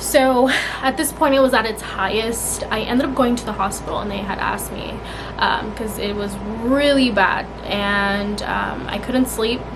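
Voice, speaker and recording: A woman at a fairly high pitch with ordinary pitch variation and a moderate pace, amid audible room echo and noticeable background noise. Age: 20s. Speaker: vlogger. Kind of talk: casual chat.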